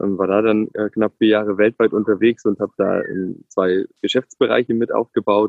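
The man's voice sits fairly low. His delivery is monotone and flat. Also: moderate pace. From Ulm, southern Germany (Swabia). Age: 30s. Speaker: tech executive and father. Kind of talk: interview.

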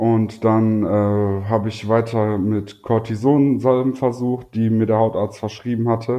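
At a fairly slow pace, a man holds a medium pitch with monotone, flat intonation and hardly any pauses. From North Rhine-Westphalia, Germany. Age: 20s. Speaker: YouTuber with psoriasis. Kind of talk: casual interview.

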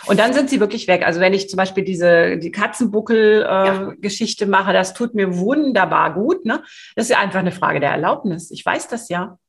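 Somewhat breathy, a woman speaks at medium pitch. Her pace is fairly quick. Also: ordinary pitch variation. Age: 50s. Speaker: sales coach. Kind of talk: podcast interview. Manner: hesitant, many fillers.

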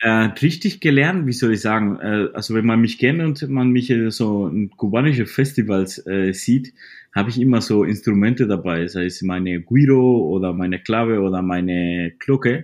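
In a Spanish accent, a man talks at a moderate pace with lively intonation and hardly any pauses. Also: medium pitch for a man. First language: Spanish (speaking German). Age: 30s. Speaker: salsa DJ. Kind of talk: interview. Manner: halting, repeating words.

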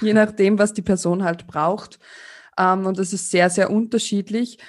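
Over a quiet background, a woman talks at a moderate pace. Her pitch is medium and her intonation fairly even. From Austria. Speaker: sex educator. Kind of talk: interview.

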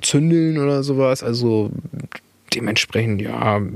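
With noticeable background noise and audible room echo, a man speaks fairly slowly. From Bremen area, northern Germany. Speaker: podcast co-host, political activist. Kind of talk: casual chat.

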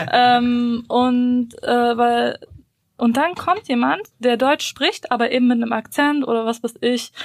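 Speaking at a very slow pace, a woman uses a high pitch. Her pitch variation is ordinary. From Bosnia, raised in Germany from early childhood. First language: Bosnian (speaking German). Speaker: podcast co-host. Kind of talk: casual chat.

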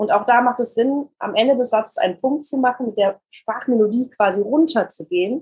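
A woman with a fairly high pitch talks at a moderate pace, her voice carrying a slightly husky edge and ordinary pitch variation.

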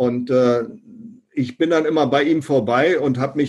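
A man speaks in a dark, mellow tone at a moderate pace. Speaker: professor and direct sales consultant. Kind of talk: interview.

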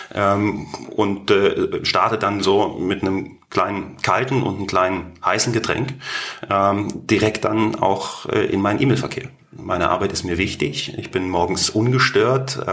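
A man with a fairly low pitch talks at a fairly slow pace, his voice carrying audible room echo amid noticeable background noise. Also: ordinary pitch variation. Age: 40s. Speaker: business executive. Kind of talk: interview. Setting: studio office.

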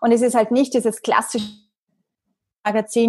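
An unremarkable speaking voice moves at a fairly quick pace. The background is quiet. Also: woman. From Austria, Vienna. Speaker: marketing entrepreneur and magazine publisher. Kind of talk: podcast interview.

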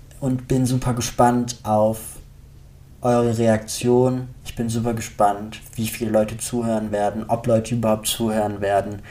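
At a moderate pace, a man speaks in a medium pitch with a dark, mellow tone and monotone, flat intonation. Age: 20s. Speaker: psychology student and author podcaster. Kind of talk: podcast monologue introduction.

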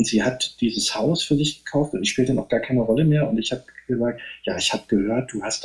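A plain, everyday voice moves along at a fairly quick pace. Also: man. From northeastern Germany. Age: 50s. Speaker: novelist and poet. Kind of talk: casual interview. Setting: remote call.

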